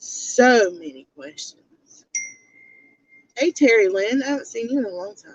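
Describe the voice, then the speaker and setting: A woman speaks in a Southern US accent at a fairly slow pace. The sound is dry and close, with no echo. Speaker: youtube commentator livestreamer. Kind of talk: casual livestream commentary. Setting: in a car. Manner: animated.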